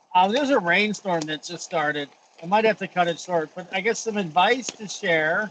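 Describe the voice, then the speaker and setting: A man with an American accent talks at a moderate pace in a high pitch, with ordinary pitch variation and noticeable background noise. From US. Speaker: voice-over artist and actor. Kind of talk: interview.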